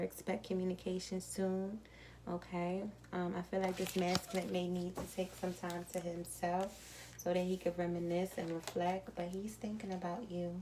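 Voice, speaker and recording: A soft-spoken woman talks at a moderate pace in a medium pitch. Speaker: tarot card reader. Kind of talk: tarot reading. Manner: calm.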